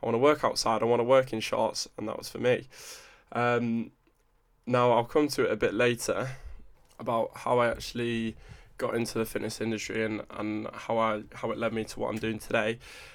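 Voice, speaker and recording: A man with an English accent speaks at a medium pitch in a flat monotone, on a very clean recording with a silent background. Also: fairly quick pace. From England (moved around; born Newcastle, raised partly Buckinghamshire). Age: 20s. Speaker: fitness coach. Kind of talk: solo podcast monologue. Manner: casual, chatty.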